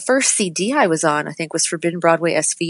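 A woman with an American accent speaks in a normal speaking voice at a fairly low pitch. Her pace is fairly quick. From New Hampshire, US. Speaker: musical theater actress. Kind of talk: casual interview.

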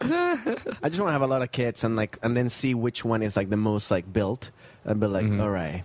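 A man with a strong non-native accent, medium pitch, lively intonation, very even loudness and a moderate pace. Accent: thick foreign. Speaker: comedian and actor. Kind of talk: casual chat.

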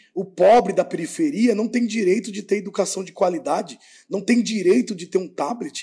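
At a moderate pace, a man with a high pitch, a dark, mellow tone and lively intonation speaks. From Brazil, Sorocaba, São Paulo state. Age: 30s. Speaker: mayoral candidate and teacher. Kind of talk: political interview.

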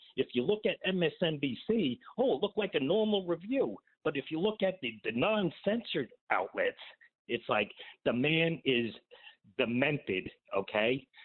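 A man with an American accent speaks at a fairly slow pace. His fairly high pitch swings very widely. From New Jersey. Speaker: caller. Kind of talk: call-in to radio show. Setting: phone call. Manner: agitated.

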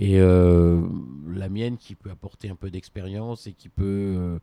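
A man speaks with a very deep, low pitch and a dark, mellow tone. The sound is dry and close with no echo, on a very clean recording with a silent background. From France, Besançon. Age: 50s. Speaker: consumer advocate and political aide. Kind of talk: interview. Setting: at his home. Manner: hesitant, with fillers.

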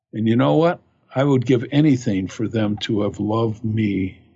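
Somewhat breathy and with an American accent, this voice moves at a fairly slow pace with ordinary pitch variation. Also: man. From US Midwest, Michigan. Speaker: dentist and life coach. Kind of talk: personal storytelling monologue. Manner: halting.

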